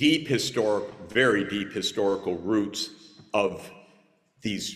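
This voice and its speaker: Noticeable background noise sits behind this man. He talks at a moderate pace in an American accent with lively intonation. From United States. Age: 60s. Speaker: conference panelist. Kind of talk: panel discussion.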